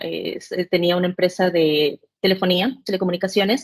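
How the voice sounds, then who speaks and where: A woman speaks at a medium pitch and a fairly slow pace. The sound is dry and close, with no echo. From El Salvador, Central America (born in Mexico). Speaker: cybersecurity specialist, penetration tester. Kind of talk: podcast interview. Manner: hesitant, with many fillers.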